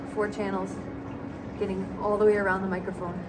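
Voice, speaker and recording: A woman talks over loud background noise. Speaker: travel vlogger. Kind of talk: casual vlog chat. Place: tunnel cave. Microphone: camera far.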